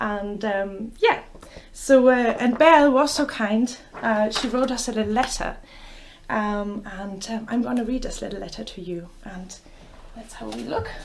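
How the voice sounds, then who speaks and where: A woman with a German accent speaks at a fairly slow pace in a fairly high pitch, her loudness swinging widely and her pitch varying in an ordinary way, with noticeable background noise and audible room echo. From Germany. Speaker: children's bookshop owner, storyteller. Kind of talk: story time reading for children. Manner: hesitant, many fillers.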